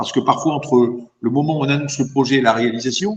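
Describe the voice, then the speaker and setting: At a fairly quick pace, a man talks at medium pitch with ordinary pitch variation and a somewhat breathy sound. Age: 60s. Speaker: mayor. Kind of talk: interview.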